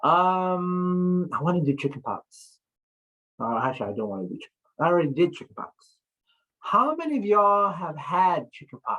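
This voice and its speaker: With music in the background, a woman speaks at a fairly low pitch that swings very widely. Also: big swings in loudness. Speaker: statistics instructor. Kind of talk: classroom lecture. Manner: slow.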